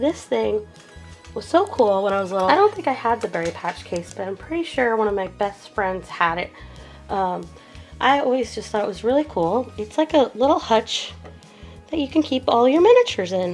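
Faint music can be heard in the background. Over it, a woman talks at a moderate pace. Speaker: toy collector vlogger. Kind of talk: casual vlog chat. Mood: excited, nostalgic. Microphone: camera far.

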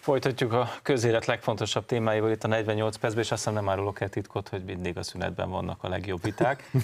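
A man talks at a very fast pace with hardly any pauses. His pitch sits fairly low. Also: fairly even intonation. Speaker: talk show host. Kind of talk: TV political discussion. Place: studio. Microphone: lapel.

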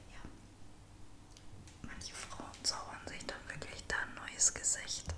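Whispering at a very slow pace, with long, frequent pauses and big swings in loudness. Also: woman. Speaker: ASMR creator. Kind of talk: ASMR makeup routine talking to camera. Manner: soft, whispering. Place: home room. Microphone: studio mic.

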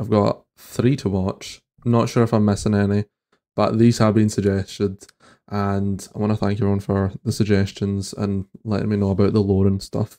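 In a quiet background, a man with a Scottish accent speaks at a moderate pace, fairly low in pitch, with a dark, mellow tone and monotone, flat intonation. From Scotland. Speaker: reaction content creator. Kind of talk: casual reaction commentary to camera. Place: home room. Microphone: studio mic.

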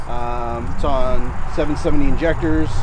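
Dry sound with no echo and noticeable background noise. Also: man. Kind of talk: casual walkaround explanation. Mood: relaxed, amused. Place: street.

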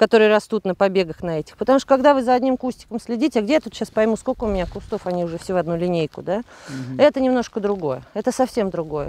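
The pitch swings very widely as the words come out very fast. The sound is dry, with no echo. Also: woman. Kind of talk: interview answer. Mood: candid, lightly self-mocking. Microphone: lapel.

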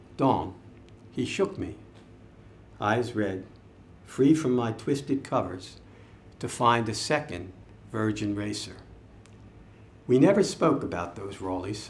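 Light background noise sits behind a somewhat breathy voice at a fairly slow pace. Long, frequent pauses break up its lively intonation. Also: man. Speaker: poet. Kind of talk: poetry reading, measured and reflective. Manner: slow, deliberate, solemn; wistful, introspective. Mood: reflective, measured. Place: shop. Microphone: podium.

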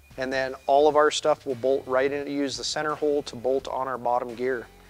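Faint background music under a man talking at a moderate pace. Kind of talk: product explainer. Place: shop.

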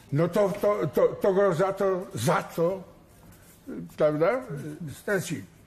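There is audible room echo as a man talks in a high pitch with lively intonation. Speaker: son of executed admiral. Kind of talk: TV studio interview. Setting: TV studio.

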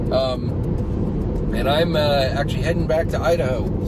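Music plays in the background while a man speaks. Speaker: driver vlogger. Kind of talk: casual vlog chat. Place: car. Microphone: phone near.

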